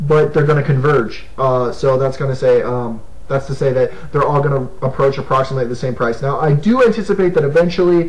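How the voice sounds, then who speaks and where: A man talks at a fairly quick pace with hardly any pauses, his fairly high pitch showing ordinary variation. Audible room echo is present. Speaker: gaming video host. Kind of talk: casual monologue. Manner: fast; animated.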